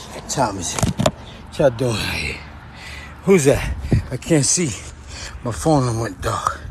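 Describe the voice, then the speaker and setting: The speech moves at a fairly slow pace, with long, frequent pauses, very wide pitch swings and big swings in loudness. Noticeable background noise runs underneath. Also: man, medium pitch for a man. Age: 50s. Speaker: poet and vlogger. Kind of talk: casual vlog monologue. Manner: animated.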